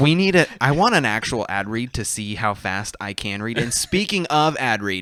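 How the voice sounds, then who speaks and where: Over noticeable background noise, a man with a medium pitch talks at a moderate pace. His intonation is lively and he hardly pauses. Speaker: podcast co-host. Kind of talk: casual chat.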